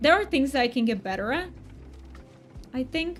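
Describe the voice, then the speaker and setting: A soft-spoken woman's voice with lively intonation and music in the background. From Poland. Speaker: game streamer. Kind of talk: casual livestream chat. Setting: livestream.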